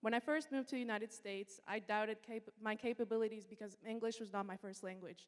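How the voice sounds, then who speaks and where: A woman with a Spanish accent talks at a fairly quick pace. Her pitch is fairly high, and her intonation is monotone and flat. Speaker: student introducer. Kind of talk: speech introduction. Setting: stage with audience. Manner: formal.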